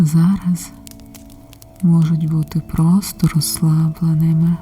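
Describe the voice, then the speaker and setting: A soft-spoken woman, fairly low in pitch, calm in tone, very slow and monotone with flat intonation, music in the background. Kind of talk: ASMR relaxation and support talk. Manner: calm, soft-spoken.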